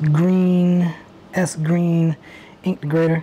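Light background noise sits behind a woman's voice. She speaks at a fairly low pitch with monotone, flat intonation. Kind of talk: casual vlog chat. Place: garage.

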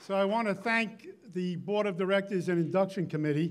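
Faint crowd noise sits in the background. Over it, a man speaks at a high pitch and a moderate pace.

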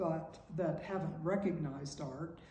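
A woman speaks at a fairly slow pace in a fairly low pitch, with ordinary pitch variation and audible room echo. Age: 80s+. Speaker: painter. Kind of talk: interview. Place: home room. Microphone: camera far.

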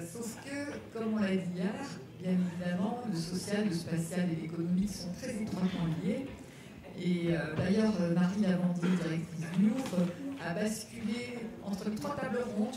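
A woman at a fairly slow pace with ordinary pitch variation, amid strong room echo and noticeable background noise. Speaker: panel moderator. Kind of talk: moderator introduction to a round table. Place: hall.

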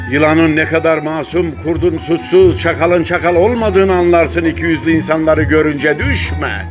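A man speaks with hardly any pauses. Music plays in the background. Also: moderate pace. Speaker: poetry reader. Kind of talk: poetry reading.

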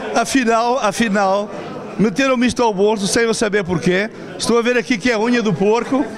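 A high-pitched man at a fairly quick pace, loudness very even, ordinary pitch variation, noticeable background noise behind him. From Lazarim, Lamego area, Portugal, then Brazil. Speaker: festival visitor, returned emigrant. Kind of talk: interview. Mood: happy, grateful. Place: hall. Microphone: handheld.

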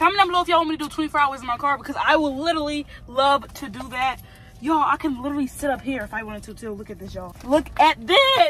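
A woman's high voice at a very fast pace, with a dry sound and no echo. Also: ordinary pitch variation, big swings in loudness. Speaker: vlogger. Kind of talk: casual vlog chat. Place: car. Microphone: phone near.

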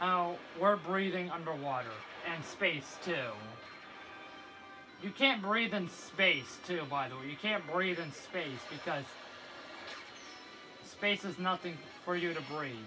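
Clear music plays in the background as a man speaks at a high pitch with ordinary pitch variation. He goes fairly slowly, with long, frequent pauses. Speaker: gamer. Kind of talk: casual gameplay commentary. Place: home room. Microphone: phone near.

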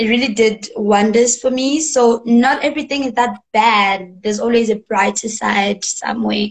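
A woman's fairly high, somewhat breathy voice with fairly even intonation and hardly any pauses. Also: moderate pace. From South Africa. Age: young. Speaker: singer-songwriter. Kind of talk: interview answer. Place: home room. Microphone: video call.

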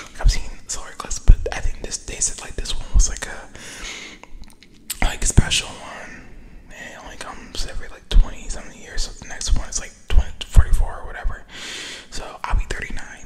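Whispering at a fairly quick pace, a man makes big swings in loudness. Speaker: ASMR creator. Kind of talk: casual vlog chat. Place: car. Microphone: studio mic.

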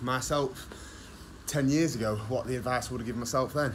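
A man speaks at a very fast pace with ordinary pitch variation. Light background noise can be heard. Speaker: fitness coach. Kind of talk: casual advice vlog. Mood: frank, casual, mild swearing. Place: gym. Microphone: phone near.

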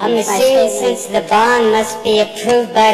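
Faint music in the background accompanies a man speaking at a fairly slow pace with audible room echo. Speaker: member of the public commenting. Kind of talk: public comment at county commission meeting. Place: hall. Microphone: podium.

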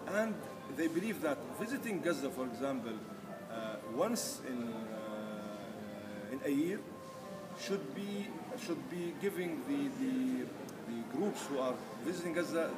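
Fairly slow delivery with clear music playing in the background. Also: man. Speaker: activist spokesperson. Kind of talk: interview answer. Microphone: camera far.

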